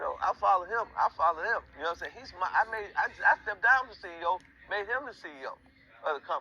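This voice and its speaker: Raised and projected, a man's high-pitched voice races at a very fast pace with an animated tone, lively intonation and big swings in loudness, in a dry, close sound with no echo. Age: 60s. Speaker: podcast guest, community elder. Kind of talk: casual interview chat. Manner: animated, repetitive with stammering.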